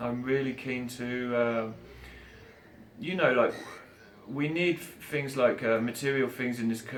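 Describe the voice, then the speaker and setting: This man has an English accent and a medium pitch. He speaks at a moderate pace with fairly even intonation. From England. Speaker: street musician. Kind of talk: interview answer. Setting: outdoors.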